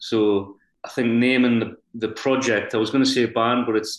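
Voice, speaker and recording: With a strong Geordie accent, a man at medium pitch talks at a fairly quick pace in a flat monotone. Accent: Geordie, thick. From North Shields, Tyneside, north-east England. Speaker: singer-songwriter. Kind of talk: casual interview chat.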